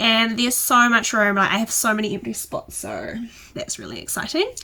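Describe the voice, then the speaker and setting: A woman with a New Zealand accent at a fairly quick pace, her loudness swinging widely. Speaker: houseplant youtuber. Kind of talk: casual vlog talk.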